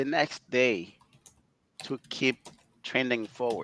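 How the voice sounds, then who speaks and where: A man speaks at a very slow pace with a non-native accent, his medium-pitched voice bright and sharp in tone, recorded dry and close with no echo. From outside North America. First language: not English. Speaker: data management executive. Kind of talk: interview.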